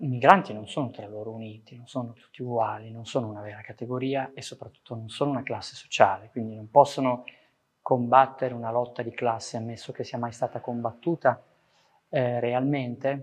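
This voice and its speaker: In an unremarkable speaking voice, a man talks at a medium pitch with fairly even intonation and big swings in loudness. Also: fairly quick pace. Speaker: professor and poet. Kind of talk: testimony.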